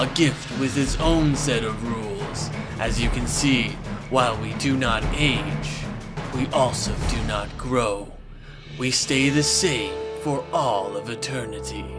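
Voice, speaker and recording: Loud background noise surrounds a man doing a cartoonish character voice at a medium pitch and a fairly slow pace. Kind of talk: epic fantasy narration.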